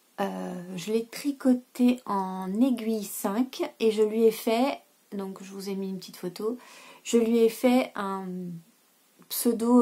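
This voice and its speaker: A woman's dark, mellow tone comes at a very slow pace with fairly even intonation on a very clean recording with a silent background. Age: 30s. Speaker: knitting podcaster. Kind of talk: casual vlog chat. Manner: hesitant, many filler sounds.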